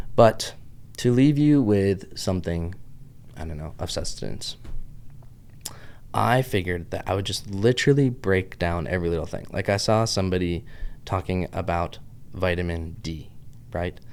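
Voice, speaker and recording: With a Southern US accent, a man speaks at a moderate pace in a very deep, low pitch. His intonation is lively, broken by long, frequent pauses. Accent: Southern US, adopted. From US, Pittsburgh. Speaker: health podcaster. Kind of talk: casual vlog monologue. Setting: office with camera. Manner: animated, rambling.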